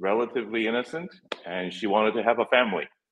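Pitched in the medium range with ordinary variation, a man talks in an unremarkable speaking voice. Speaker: caller. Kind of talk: casual chat.

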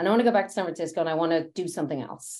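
A woman with a Dublin accent, very fast and with lively intonation. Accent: Irish (Dublin). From Ireland, Dublin. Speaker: technology executive. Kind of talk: interview.

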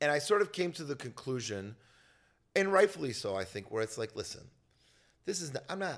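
A man at a moderate pace, animated in tone, with very wide swings in pitch. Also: very clean recording, silent background. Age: 30s. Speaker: comedian. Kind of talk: casual chat. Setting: at his home.

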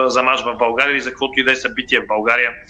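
A man speaks in a flat monotone over noticeable background noise. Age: 30s. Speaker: sports journalist. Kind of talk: panel discussion.

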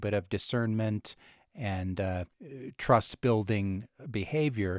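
A man with a normal speaking voice talks at a fairly low pitch in a dry, close sound with no echo, on a very clean recording with a silent background. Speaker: podcast co-host. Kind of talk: interview.

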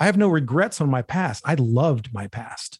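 Somewhat breathy, a man's voice comes through with a dry, close sound and no echo. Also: very clean recording, silent background. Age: 50s. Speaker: bodybuilding podcast host. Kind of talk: casual monologue. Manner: casual, profane.

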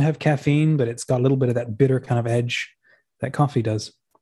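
A man's medium-pitched, somewhat breathy voice with a dark, mellow tone and fairly even intonation. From Australia. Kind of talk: casual interview.

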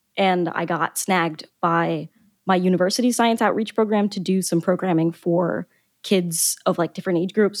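A woman uses a normal speaking voice at a medium pitch with an American accent and ordinary pitch variation. The recording is very clean, with a silent background and a dry, close sound with no echo. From US South, Florida (Boca Raton). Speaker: biology researcher and science fiction author. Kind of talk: casual interview chat.

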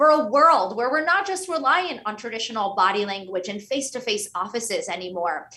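This woman has a high pitch, a bright, sharp tone and an American accent. She talks at a fairly quick pace, and her pitch swings very widely. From US, Pittsburgh, Pennsylvania. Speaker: author and consultant. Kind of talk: interview.

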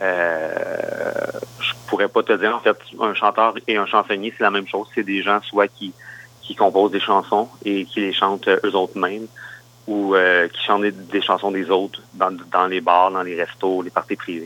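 At a fairly slow pace, the speaker talks with a Quebec accent and monotone, flat intonation. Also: man, fairly low pitch for a man. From Quebec, Granby area. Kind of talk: interview. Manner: halting.

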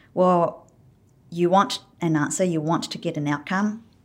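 A fairly slow woman's voice, fairly low in pitch and fairly even in intonation, in a New Zealand accent. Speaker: enterprise design consultant. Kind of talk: casual interview conversation. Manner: hesitant, filler-heavy.

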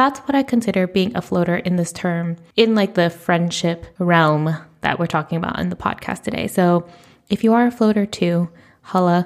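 Using a plain, everyday voice with an American accent, a woman talks at a moderate pace, her fairly low pitch showing ordinary variation. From United States. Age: 30s. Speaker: podcast host. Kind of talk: solo podcast monologue. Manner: casual, chatty.

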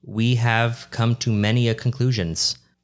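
On a very clean recording with a silent background, a man speaks in an unremarkable speaking voice at medium pitch and a moderate pace. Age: 20s. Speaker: podcast co-host. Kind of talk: casual chat.

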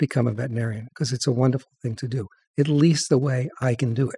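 A man's very fast, somewhat breathy voice with an American accent, medium pitch, ordinary pitch variation and a dark, mellow tone, dry and close with no echo on a very clean recording with a silent background. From Long Island, New York. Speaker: veterinarian and columnist. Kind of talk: casual interview.

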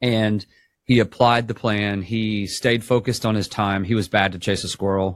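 On a very clean recording with a silent background, a man speaks at a moderate pace in a monotone, flat intonation. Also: fairly low pitch for a man. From Georgia. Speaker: sales trainer. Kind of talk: interview.

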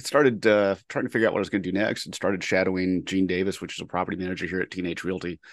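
A man's very deep, low voice at a very fast pace, with fairly even intonation against a quiet background. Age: 50s. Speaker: construction project manager. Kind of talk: casual interview.

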